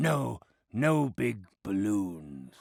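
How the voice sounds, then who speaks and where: Using a cartoonish character voice, a man swings his pitch very widely around a fairly low base. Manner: wheedling.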